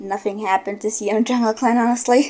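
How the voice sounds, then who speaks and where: At a fairly quick pace, a woman speaks in a dark, mellow tone, her pitch fairly high and her intonation fairly even. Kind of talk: casual game commentary.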